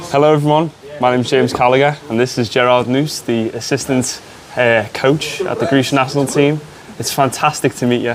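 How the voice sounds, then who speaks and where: A man speaks in a Liverpool accent at a medium pitch and a fairly quick pace. His intonation stays fairly even over noticeable background noise. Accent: Scouse. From Liverpool, England. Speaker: sports media student interviewer. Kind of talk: interview.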